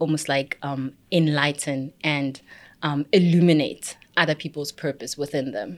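In a very clean recording with a silent background, a woman speaks at a moderate pace. Her voice is very deep and low, with monotone, flat intonation. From South Africa, Pretoria. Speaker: business strategy consultant. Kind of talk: interview.

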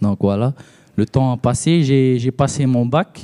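Very slowly, a man speaks at medium pitch with ordinary pitch variation and a dark, mellow tone, in a dry, close sound with no echo. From Tahiti. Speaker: theology student. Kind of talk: testimony.

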